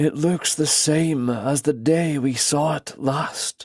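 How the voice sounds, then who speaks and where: In a put-on character voice, the speaker delivers lines at a fairly slow pace. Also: man, fairly high pitch for a man. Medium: read story. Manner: calm, measured.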